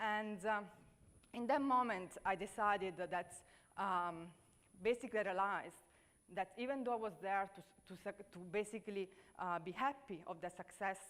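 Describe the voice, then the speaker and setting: A woman with an Italian accent at medium pitch, her speech broken by long, frequent pauses. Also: ordinary pitch variation, moderate pace. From Italy. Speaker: leadership speaker. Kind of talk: conference talk. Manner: hesitant, many fillers.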